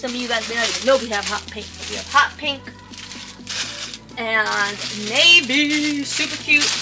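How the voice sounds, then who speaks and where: A woman's raised, projected voice at a fairly slow pace, with ordinary pitch variation and clear music in the background. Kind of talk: casual product tour. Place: shop. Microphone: camera far.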